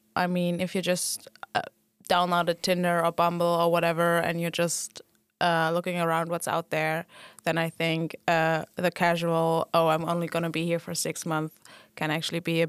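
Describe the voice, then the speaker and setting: In a German accent, a woman speaks at a fairly low pitch and a moderate pace. Her intonation is monotone and flat, and the recording is very clean with a silent background. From Germany. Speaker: student association board member. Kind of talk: casual chat.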